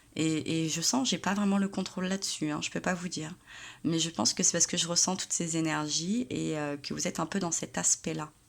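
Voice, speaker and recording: Soft-spoken and fairly low-pitched, a woman speaks at a fairly quick pace with ordinary pitch variation. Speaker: tarot reader. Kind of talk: tarot reading monologue. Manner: hesitant with many fillers.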